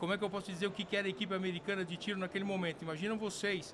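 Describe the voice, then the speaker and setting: A man's raised, projected voice, high in pitch, with ordinary pitch variation. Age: 60s. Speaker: sport shooting veteran and firearms company figure. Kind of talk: podcast interview. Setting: convention event. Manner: halting, many fillers.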